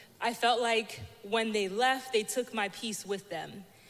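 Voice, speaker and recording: A woman with a plain, everyday voice, fairly high in pitch, with ordinary pitch variation and a fairly slow pace. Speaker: church member sharing testimony. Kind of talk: testimony.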